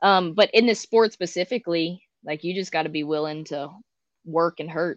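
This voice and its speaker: A woman speaks at a moderate pace in a fairly low pitch, with a dry, close sound with no echo and a quiet background. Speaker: athlete and coach. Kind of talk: interview. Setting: video call. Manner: soft-spoken.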